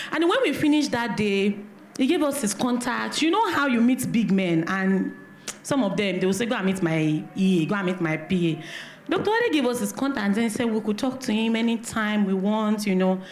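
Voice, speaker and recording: With a Nigerian accent, a woman talks at a fairly quick pace in a fairly high pitch and lively intonation, amid noticeable background noise and audible room echo. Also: very even loudness. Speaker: event organizer, business network founder. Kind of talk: speech of thanks at event. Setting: church hall event with audience. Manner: loud.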